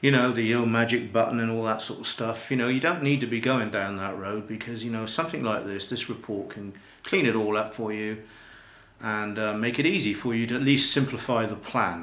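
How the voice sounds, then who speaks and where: There is audible room echo as a man with a British accent speaks at a fairly quick pace in a medium pitch. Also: ordinary pitch variation. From UK. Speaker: life coach and internet marketer. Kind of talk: promotional talk to camera. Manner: casual, hesitant with fillers.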